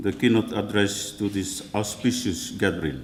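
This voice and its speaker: A voice in a Tahitian French accent at a fairly slow pace, with audible room echo. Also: man. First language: Tahitian or French. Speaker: church leader. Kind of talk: keynote speech. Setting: conference hall with audience. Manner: halting.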